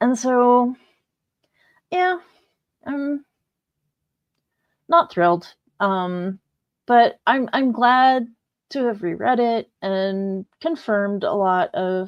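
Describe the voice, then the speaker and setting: A very slow, lively-intoned delivery with long, frequent pauses over a quiet background. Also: woman, fairly high pitch for a woman. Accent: American. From US Midwest (central Missouri). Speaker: booktuber livestreamer. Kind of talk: casual livestream chat. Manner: hesitant, many fillers.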